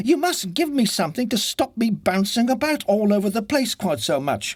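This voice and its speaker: Putting on a cartoonish character voice, a man talks at a moderate pace with a high pitch and very wide pitch swings. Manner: mildly plaintive, polite.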